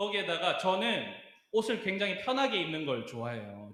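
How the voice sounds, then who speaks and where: A man's pitch swings very widely. Audible room echo and noticeable background noise surround his voice. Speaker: youth pastor. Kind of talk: sermon.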